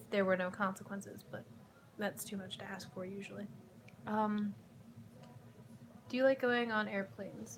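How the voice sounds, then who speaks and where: A woman with an American accent, medium in pitch and somewhat breathy, at a moderate pace with ordinary pitch variation. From US Midwest, Chicago. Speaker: YouTuber. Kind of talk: casual Q&A vlog. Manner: casual, rambling with fillers.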